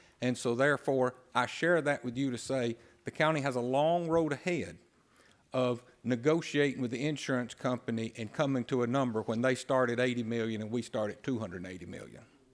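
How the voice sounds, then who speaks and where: With an Alabama accent, a man speaks using ordinary pitch variation. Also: medium pitch for a man, fairly quick pace. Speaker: county official. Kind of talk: formal briefing. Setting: county commission meeting.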